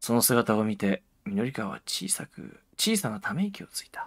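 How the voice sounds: Read aloud in a natural reading voice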